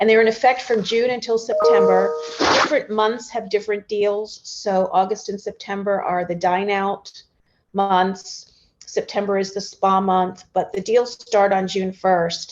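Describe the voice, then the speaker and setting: With an unremarkable speaking voice, a woman talks at a fairly slow pace, her pitch medium and her intonation fairly even. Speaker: tourism agency chief executive. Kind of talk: webinar panel interview. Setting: online webinar.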